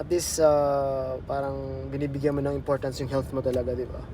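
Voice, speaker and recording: A man talks at a fairly quick pace with a medium pitch. Noticeable background noise runs behind him. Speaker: nurse vlogger. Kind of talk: casual vlog talk. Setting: in a car, then restaurant. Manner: halting, many fillers.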